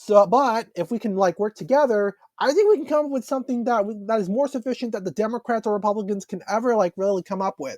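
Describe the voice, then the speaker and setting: Against a quiet background, a man talks at a very fast pace in a high voice with ordinary pitch variation, the sound dry and close with no echo. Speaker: podcast host. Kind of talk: solo commentary podcast. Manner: halting, stumbling.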